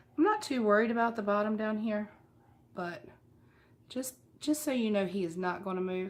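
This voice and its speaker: Here a woman speaks in a Southern US accent. Her pitch is medium and her pace is moderate. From US South. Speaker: craft YouTuber. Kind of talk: tutorial. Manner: casual.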